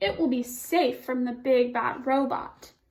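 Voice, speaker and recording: A woman uses a put-on character voice with a high pitch. She speaks at a fairly slow pace. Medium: read story. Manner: careful, sensible.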